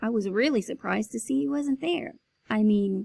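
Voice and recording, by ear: The words are read out loud in a natural voice. Nothing much is heard behind them.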